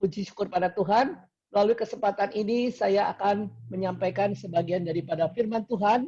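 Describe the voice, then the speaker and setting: This man's voice is high in pitch, with a dark, mellow tone. He speaks at a fairly quick pace with ordinary pitch variation. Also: very even loudness. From Indonesia, Cirebon (West Java). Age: 70s. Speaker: lay preacher and businessman. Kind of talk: sermon. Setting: video call.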